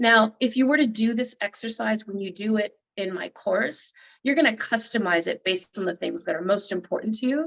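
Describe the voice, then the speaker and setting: A woman's fairly high voice with vocal fry, a fairly quick pace and ordinary pitch variation. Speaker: motivational speaker and coach. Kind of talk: workshop talk. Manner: fast.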